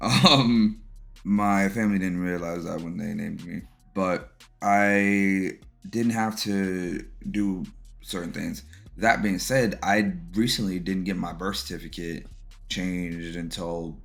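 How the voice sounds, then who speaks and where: Amid music in the background and audible room echo, a man speaks at a fairly slow pace with ordinary pitch variation and big swings in loudness. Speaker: podcast host, military veteran. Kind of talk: personal testimony.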